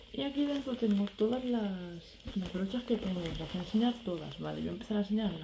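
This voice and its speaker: Speaking at a fairly quick pace, a woman uses ordinary pitch variation over light background noise. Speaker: beauty vlogger. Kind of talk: casual vlog chat. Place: home room. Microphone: phone near.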